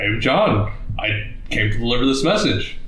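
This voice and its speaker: A man talks in a put-on character voice at a moderate pace. A slight echo hangs on the recording. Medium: actual play. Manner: nervous, bluffing.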